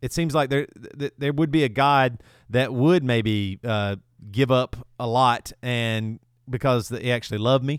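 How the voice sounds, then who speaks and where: In a very clean recording with a silent background and a dry, close sound with no echo, a man with a Southern US accent talks at medium pitch and a fairly slow pace, with ordinary pitch variation. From US South, South Carolina. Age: 40s. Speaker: rock singer and podcast host. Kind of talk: casual chat.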